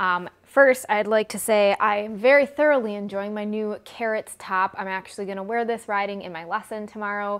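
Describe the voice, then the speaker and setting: In a very clean recording with a silent background, a woman with an American accent talks at a moderate pace and a medium pitch, her intonation fairly even, hardly pausing, her loudness swinging widely. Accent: Midwestern accent, per others. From US Midwest. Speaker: equestrian vlogger. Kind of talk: product comparison vlog. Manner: casual, chatty.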